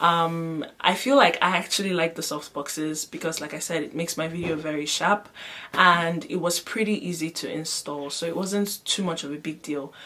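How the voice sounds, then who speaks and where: Noticeable background noise behind a woman's fairly low voice, moderate in pace, with ordinary pitch variation. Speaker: vlogger. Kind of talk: vlog product demo. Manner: casual, chatty.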